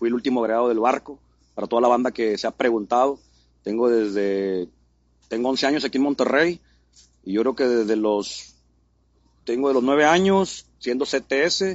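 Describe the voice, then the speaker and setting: At a moderate pace broken by long, frequent pauses, a man speaks with a medium pitch and ordinary pitch variation. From Mexico City. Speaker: graffiti artist. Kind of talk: casual interview.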